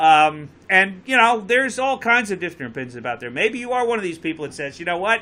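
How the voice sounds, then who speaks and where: A man with a Connecticut accent speaks in a raised, projected voice at a very fast pace with hardly any pauses, his high pitch making very wide swings, his tone bright and sharp, and his loudness swinging widely. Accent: Connecticut accent, noticeable. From Connecticut, near Bridgeport. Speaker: talk show host and boat captain. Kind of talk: live call-in talk show. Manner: casual, joking.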